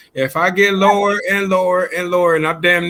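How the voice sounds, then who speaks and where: The voice is loud, with a bright, sharp tone. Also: man. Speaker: radio show guest. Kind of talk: casual chat.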